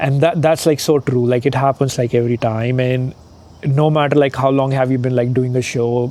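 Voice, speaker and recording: Dark and mellow in tone, the voice moves at a moderate pace with a monotone, flat intonation. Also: man, medium pitch for a man. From India. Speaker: stand-up comedian. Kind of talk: interview. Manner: casual, many fillers.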